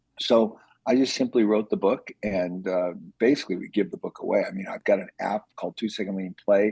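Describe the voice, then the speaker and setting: A man speaks at a fairly quick pace, his loudness swinging widely, in a dry, close recording with no echo. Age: 60s. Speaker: lean manufacturing author and entrepreneur. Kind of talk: podcast interview. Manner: animated.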